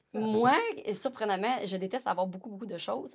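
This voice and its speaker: Speaking at a moderate pace, a woman's voice carries vocal fry. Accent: Quebec. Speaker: podcast guest. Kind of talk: casual chat. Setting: studio. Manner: animated.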